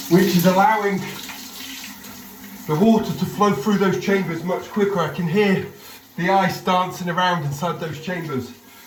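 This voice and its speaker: Speech moves at a moderate pace with fairly even intonation and long, frequent pauses. Noticeable background noise sits behind it. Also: man, high pitch for a man. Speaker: company founder. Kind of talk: casual talk to camera.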